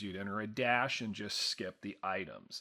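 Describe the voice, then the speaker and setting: A man speaks loudly at a moderate pace, his tone bright and sharp. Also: very clean recording, silent background. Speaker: continuing education instructor for therapists. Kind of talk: lecture. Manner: hesitant with many fillers.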